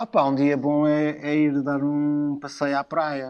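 A man speaks against a quiet background. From Portugal, Lisbon. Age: 50s. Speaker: musician and designer. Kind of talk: casual chat. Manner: halting.

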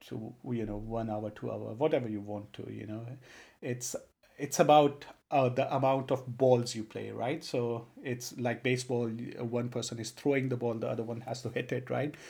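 Somewhat breathy and fairly even in intonation, a man with an Indian accent speaks at a medium pitch in a very clean recording with a silent background. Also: moderate pace. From Punjab, India. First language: Punjabi. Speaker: podcast co-host. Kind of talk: casual conversation.

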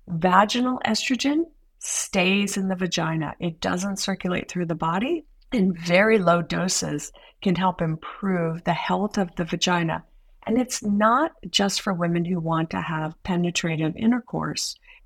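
On a very clean recording with a silent background, a woman has a normal speaking voice, a medium pitch, ordinary pitch variation and a fairly slow pace. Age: 60s. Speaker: women's health nurse practitioner. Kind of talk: podcast interview.

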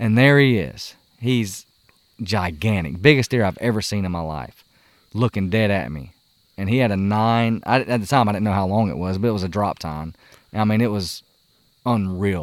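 Over a silent background in a very clean recording, a man with a Southern US accent speaks at a moderate pace with long, frequent pauses, his fairly low pitch showing ordinary variation. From US South. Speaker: hunter and outdoor YouTuber. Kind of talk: casual chat. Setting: outdoors around a campfire.

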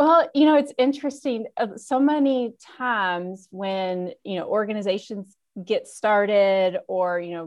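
Against a quiet background, a woman in a normal speaking voice talks at a fairly slow pace with a medium pitch and lively intonation. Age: 40s. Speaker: nonprofit founder. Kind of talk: interview.

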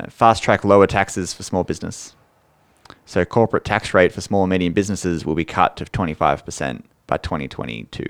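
This man has a very deep, low voice with vocal fry and ordinary pitch variation. He talks fairly quickly, and his loudness swings a lot. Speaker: accountant and podcast co-host. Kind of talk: casual chat. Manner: reading policy details aloud.

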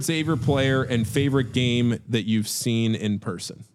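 At a fairly slow pace, a man with an American accent speaks in an unremarkable speaking voice at a medium pitch. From Northern Virginia, near Washington D.C. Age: 20s. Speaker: podcast co-host. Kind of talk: casual chat.

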